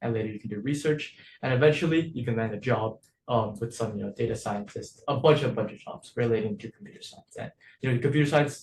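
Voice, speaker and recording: Talking at a very fast pace, the man sounds somewhat breathy, with a medium pitch and ordinary pitch variation. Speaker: coding class teacher. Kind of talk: online lecture.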